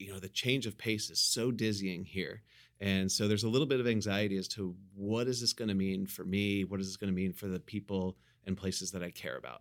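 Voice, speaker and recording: With an American accent, a man speaks at a fairly quick pace with fairly low pitch and fairly even intonation. The recording is very clean, with a silent background. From US Midwest, Ohio. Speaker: business school professor and podcast host. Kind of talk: casual interview conversation.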